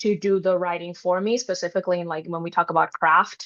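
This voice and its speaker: A woman speaks in a bright, sharp tone with a non-native accent. The background is quiet. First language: not English. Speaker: writer, panelist. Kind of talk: panel discussion.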